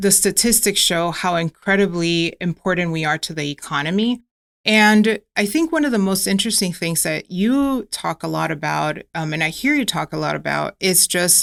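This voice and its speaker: A woman with a slight Miami accent talks at a moderate pace in a fairly low pitch with ordinary pitch variation, recorded very cleanly against a silent background with a dry, close sound and no echo. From US, Miami (arrived from Ecuador at 8). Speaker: nonprofit executive, advocate. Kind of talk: podcast interview.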